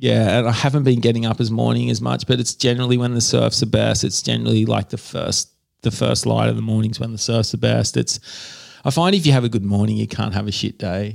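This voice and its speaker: A man with an Australian accent, talking at a very fast pace. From Australia, New South Wales Central Coast. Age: 40s. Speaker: artist. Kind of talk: casual interview. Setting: home studio.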